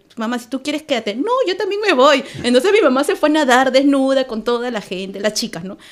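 A woman talks high and fairly quickly, with hardly any pauses, very wide pitch swings and big jumps in loudness. Noticeable background noise runs underneath. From Peru, Lima. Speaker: immigrant community organizer. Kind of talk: casual chat.

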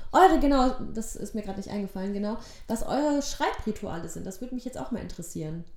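Audible room echo surrounds a woman who talks at a very fast pace in a fairly high pitch, with very wide pitch swings and big swings in loudness. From Germany (born in Poland, moved at age one). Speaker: actress and theatre educator, podcast co-host. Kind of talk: casual chat. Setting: studio-like home recording, sitting opposite co-host.

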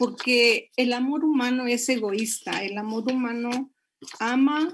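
A woman speaks with an unremarkable speaking voice at a fairly high pitch. Her intonation stays fairly even. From Monterrey, Mexico. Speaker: pastor. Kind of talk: sermon-style marriage talk.

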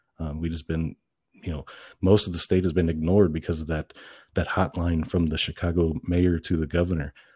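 A man with a Midwestern US accent and a very deep, low pitch speaks in a somewhat breathy, dark, mellow tone with monotone, flat intonation, in a dry, close sound with no echo on a very clean recording with a silent background. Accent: US Midwest. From central Illinois. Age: 40s. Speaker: political candidate. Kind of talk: interview.

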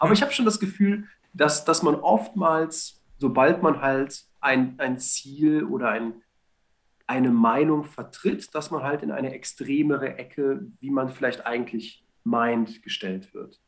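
Using lively intonation, a man with a fairly high pitch speaks at a very slow pace. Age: 30s. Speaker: church street evangelist, sales background. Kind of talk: casual chat.

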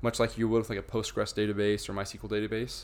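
Here a man speaks with an American accent. The recording is very clean, with a silent background. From Idaho. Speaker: software engineer. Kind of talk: casual interview.

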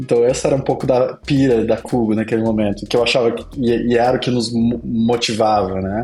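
A man's medium-pitched voice at a moderate pace, monotone and flat in intonation, over noticeable background noise. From southern Brazil, Pelotas, Rio Grande do Sul. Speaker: agency CEO and entrepreneur. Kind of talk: casual interview.

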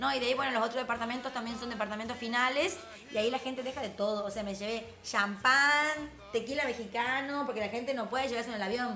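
A woman with a Tucumán accent, fairly high in pitch and animated in tone, talking at a very fast pace with ordinary pitch variation, amid audible room echo and music in the background. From Tucumán, Argentina. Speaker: entrepreneur. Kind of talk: casual chat. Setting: live stream.

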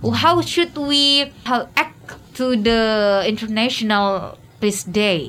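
With a bright, sharp tone and lively intonation, a woman in an Indonesian accent speaks at a very slow pace. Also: fairly high pitch for a woman. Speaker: radio host. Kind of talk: radio English-learning discussion. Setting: radio studio.

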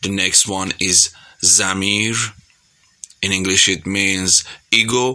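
A man's fairly low voice at a very slow pace. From Iran. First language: Persian (speaking Spanish). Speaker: singer. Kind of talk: recorded message to radio.

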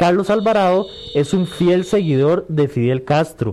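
Pitch moves with ordinary variation. Delivery comes at a fairly slow pace. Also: man. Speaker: radio host. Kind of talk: radio call-in show.

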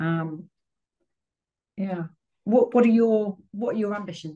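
A woman speaks at a moderate pace in a medium pitch, her dark, mellow tone somewhat breathy, with ordinary pitch variation. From Leicester, England. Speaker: recruitment company founder. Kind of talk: casual chat.

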